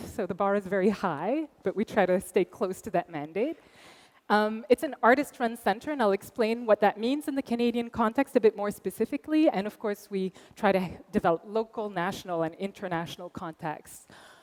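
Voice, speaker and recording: Lively intonation comes with a Quebec accent at a fairly quick pace. The sound is dry and close, with no echo. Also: woman, medium pitch for a woman. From Quebec, Montreal. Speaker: arts center director. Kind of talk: conference talk.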